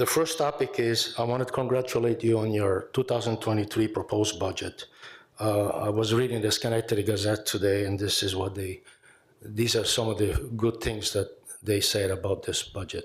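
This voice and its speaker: Speaking at a moderate pace, a man with a fairly low, somewhat breathy voice is heard on a very clean recording with a silent background. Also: fairly even intonation. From Italy. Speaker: retired teacher and veteran speaking at public comment. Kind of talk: public comment at a county legislature meeting. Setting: legislative chamber podium. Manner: halting, with fillers.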